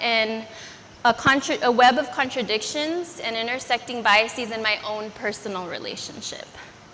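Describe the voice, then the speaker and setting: A high-pitched woman at a moderate pace, with fairly even intonation and noticeable background noise. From US, Los Angeles (immigrated from Philippines at 5). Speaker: educator and speaker. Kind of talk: personal story talk.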